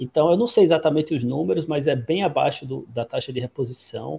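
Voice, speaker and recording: A man's dark, mellow, somewhat breathy voice, at a moderate pace with ordinary pitch variation, in a dry, close sound with no echo. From Brazil, Natal. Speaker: public policy advisor and academic. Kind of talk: casual interview. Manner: halting.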